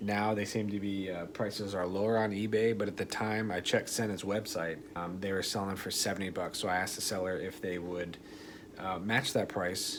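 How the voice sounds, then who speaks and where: Audible room echo surrounds a soft-spoken man with a fairly low pitch. He talks at a fairly quick pace with monotone, flat intonation. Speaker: motovlogger. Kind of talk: tutorial. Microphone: voice recording kind of quiet.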